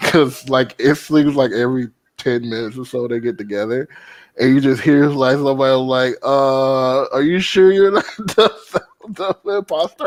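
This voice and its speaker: This man has an unremarkable speaking voice, pitched fairly high with ordinary variation. He talks at a moderate pace. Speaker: podcast co-host. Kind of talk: casual chat.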